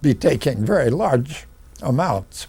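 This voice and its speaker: Over noticeable background noise, a man with an American accent talks at a very slow pace with lively intonation. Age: 80s+. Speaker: chemist, Nobel laureate. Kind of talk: interview answer.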